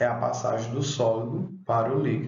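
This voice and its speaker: A man speaks with ordinary pitch variation, his voice carrying audible room echo. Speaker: schoolteacher. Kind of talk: online class lesson.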